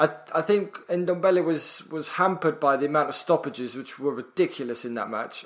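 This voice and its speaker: A normal speaking voice at a fairly quick pace, with ordinary pitch variation, big swings in loudness and hardly any pauses. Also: man, fairly high pitch for a man. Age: 30s. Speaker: podcast co-host. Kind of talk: casual chat.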